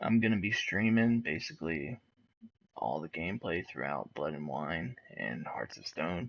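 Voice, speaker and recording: Quiet and at a moderate pace, a man speaks with a very deep, low pitch, very wide pitch swings and vocal fry. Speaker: gaming streamer. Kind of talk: live gameplay commentary. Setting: at home, wife sleeping nearby. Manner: quiet, talking low; casual, with filler words.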